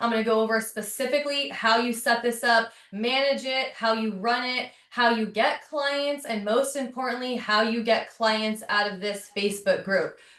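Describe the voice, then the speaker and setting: Against noticeable background noise, a woman with a fairly high pitch speaks at a moderate pace, with fairly even intonation and hardly any pauses. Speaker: real estate agent and online trainer. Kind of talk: webinar tutorial. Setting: video call webinar with screen share.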